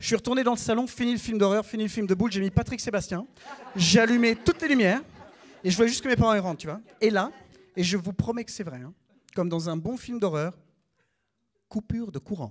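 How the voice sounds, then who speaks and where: Speaking very fast in a high pitch, a man has an animated tone and lively intonation. He leaves long, frequent pauses. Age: 30s. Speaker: comedian. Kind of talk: stand-up. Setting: stage with audience.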